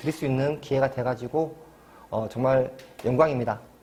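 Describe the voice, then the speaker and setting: A medium-pitched man's voice with a strong Jeolla accent. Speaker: labor attorney. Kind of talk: lecture. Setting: university study room.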